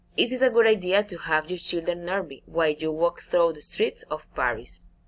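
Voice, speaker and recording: Speaking in a Spanish accent at a moderate pace, a woman with a fairly low pitch uses lively intonation. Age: 20s. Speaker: navy officer and English student. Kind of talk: recorded class presentation. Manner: halting.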